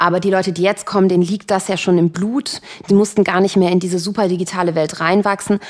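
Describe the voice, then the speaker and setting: Over noticeable background noise, a woman speaks at a very fast pace in a medium pitch with monotone, flat intonation. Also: very even loudness. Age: 20s. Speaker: influencer manager. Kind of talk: interview. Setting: home dining room.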